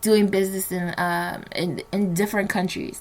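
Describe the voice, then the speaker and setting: A woman's monotone, flat delivery in a medium pitch, with a New Jersey accent. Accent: American, New Jersey. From New Jersey, Nigerian household. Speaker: podcast host. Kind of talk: solo podcast monologue. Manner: casual, many fillers.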